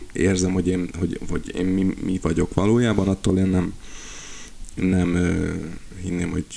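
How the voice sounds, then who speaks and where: A man's very deep, low voice moves at a moderate pace in a monotone, flat intonation. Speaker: band member and podcast co-host. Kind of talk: casual chat.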